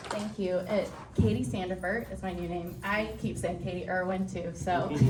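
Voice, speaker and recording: A woman with an American accent speaks with ordinary pitch variation. Audible room echo and noticeable background noise surround her. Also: fairly low pitch for a woman, moderate pace. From West Texas (Andrews). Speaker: assistant principal. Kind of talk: speech.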